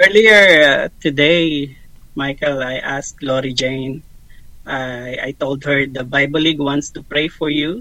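A man speaks at a very slow pace. His pitch is fairly high and his intonation fairly even. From Philippines. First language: Tagalog. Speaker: ministry staff member. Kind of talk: interview podcast.

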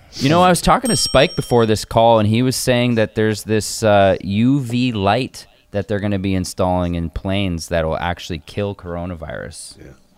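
A man's normal speaking voice, fairly low in pitch, at a moderate pace with lively intonation and big swings in loudness. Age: 30s. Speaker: screenwriter, son of the host. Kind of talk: casual chat.

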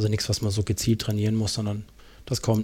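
Here a man speaks in a fairly low pitch. His tone is dark and mellow, and somewhat breathy. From Germany, Karlsruhe area. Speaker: trail runner and podcaster. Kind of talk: casual interview.

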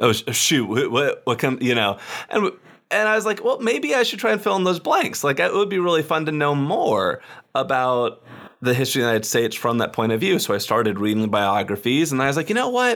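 At a very fast pace, a man speaks with a fairly high pitch, very wide pitch swings and very even loudness. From Texas, Austin. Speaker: history podcast host. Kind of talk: casual interview chat. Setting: remote call recording.

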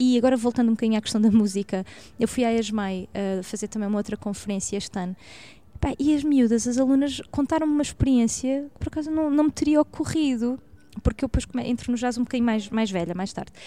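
A woman with a Lisbon accent speaks at a very fast pace, her fairly high voice dark and mellow in tone, with ordinary pitch variation. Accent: European Portuguese, Lisbon area. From Portugal, Barreiro. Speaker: jazz singer and music researcher. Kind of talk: casual interview. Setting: shop, on location.

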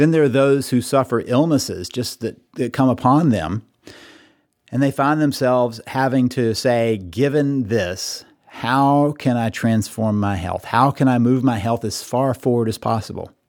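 A man with a normal speaking voice, medium in pitch, with ordinary pitch variation at a fairly slow pace. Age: 50s. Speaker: podcast host and counselor. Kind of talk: solo monologue. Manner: reflective, conversational.

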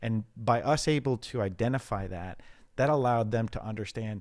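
A man with a normal speaking voice at medium pitch, ordinary pitch variation, on a very clean recording with a silent background. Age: 50s. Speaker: data analytics executive. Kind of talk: interview.

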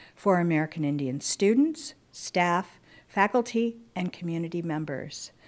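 A woman speaks at a fairly slow pace with lively intonation in a normal speaking voice. The recording is very clean, with a silent background. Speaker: university librarian and dean. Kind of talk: welcome and introduction.

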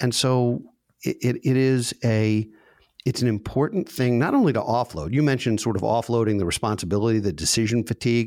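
A man's medium-pitched voice at a fairly quick pace, with very even loudness, ordinary pitch variation, and a very clean recording against a silent background. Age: 50s. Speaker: financial advisor. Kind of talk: casual chat. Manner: halting.

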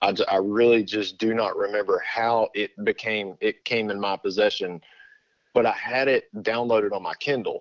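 With a Texan accent, a man speaks at a moderate pace against a quiet background. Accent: Texan Southern US. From Texas. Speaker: pastor. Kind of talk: casual interview. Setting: phone call.

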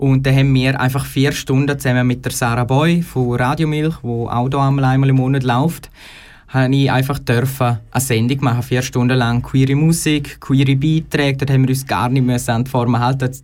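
In a Graubünden accent, a man speaks at a moderate pace and medium pitch, with monotone, flat intonation and very even loudness. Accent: Graubünden Swiss German dialect. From Chur, Graubünden, Switzerland. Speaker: radio trainee. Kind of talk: radio interview.

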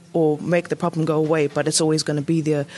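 A woman speaking at a very fast pace with a New Zealand accent. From New Zealand, South Auckland. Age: young. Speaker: playwright and director. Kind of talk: interview.

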